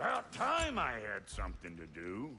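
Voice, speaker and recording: Using a raspy, put-on character voice, a man speaks at a fairly low pitch. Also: moderate pace. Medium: video game. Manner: gruff, blunt.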